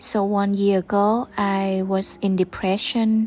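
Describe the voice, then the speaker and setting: A woman at medium pitch with a non-native accent and a monotone, flat intonation. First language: Vietnamese. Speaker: podcaster. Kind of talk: personal reflection monologue.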